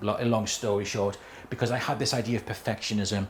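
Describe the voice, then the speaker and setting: Very fast speech with fairly even intonation, audible room echo and noticeable background noise. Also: man. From northeast England. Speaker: chief executive of a self-advocacy organisation. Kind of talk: conference talk.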